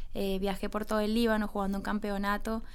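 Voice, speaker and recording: A woman's fairly high, monotone voice at a fairly quick pace, with audible room echo. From Colombia. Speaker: women's football coach and former player. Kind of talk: radio interview.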